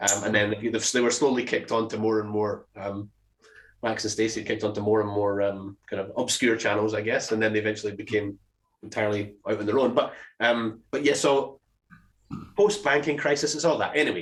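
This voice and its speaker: A man with a Scottish accent talks at a fairly quick pace in a fairly low voice. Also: ordinary pitch variation, very clean recording, silent background. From Scotland. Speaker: podcast co-host. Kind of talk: casual chat. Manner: halting, many fillers and restarts.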